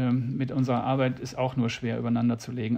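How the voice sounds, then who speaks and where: Somewhat breathy, a man speaks in a monotone with flat intonation. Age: old. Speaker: animal welfare association founder. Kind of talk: interview.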